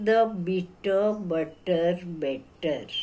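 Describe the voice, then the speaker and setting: A woman with an Indian accent speaks in a dark, mellow tone. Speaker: English teacher. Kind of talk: lecture. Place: home room. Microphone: phone near.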